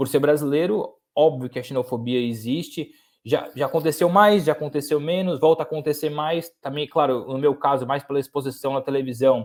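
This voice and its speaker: Hardly pausing, a man talks at a fairly high pitch with ordinary pitch variation in a very clean recording with a silent background. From Brazil, interior of São Paulo state (Lorena). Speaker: sports journalist. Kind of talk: podcast interview. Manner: repeats words and restarts often.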